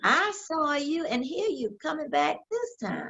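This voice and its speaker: A woman speaks at a very slow pace. Her pitch swings very widely. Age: 80s+. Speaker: senior bodybuilder, fitness guru. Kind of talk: interview answer.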